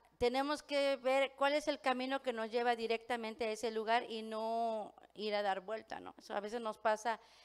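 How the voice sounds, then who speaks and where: A woman at a moderate pace, fairly high in pitch, with ordinary pitch variation. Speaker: pastor. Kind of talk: sermon. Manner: many fillers and hesitations.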